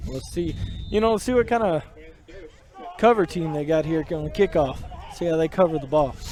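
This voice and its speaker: A man speaks at a fairly quick pace and a high pitch, with ordinary pitch variation. Long, frequent pauses break his speech over noticeable background noise. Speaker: color commentator. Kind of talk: live commentary. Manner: stuttering.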